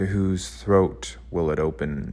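This man speaks very slowly in a very deep, low voice, his theatrical delivery sweeping through very wide pitch swings. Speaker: podcast host. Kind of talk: poetic spooky monologue, performed soliloquy. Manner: hushed, slow, eerie, incantatory; dreamy, theatrical, measured cadence.

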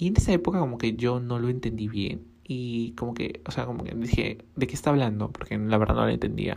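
A woman talks at a fairly quick pace with hardly any pauses, her pitch very deep and low with ordinary pitch variation. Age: 20s. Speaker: podcaster and small fashion brand owner. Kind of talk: casual solo monologue.

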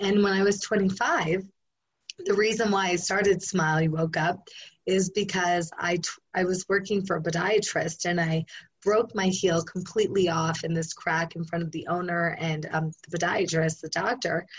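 At a moderate pace, a woman with a fairly low pitch speaks in a somewhat breathy voice with fairly even intonation. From rural area. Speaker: endurance athlete and life coach. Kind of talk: interview.

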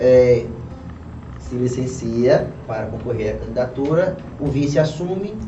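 Music in the background and audible room echo behind a man of medium pitch, ordinary pitch variation and a fairly slow pace, with long, frequent pauses. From Pernambuco, Brazil. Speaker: podcast host. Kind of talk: talk show interview.

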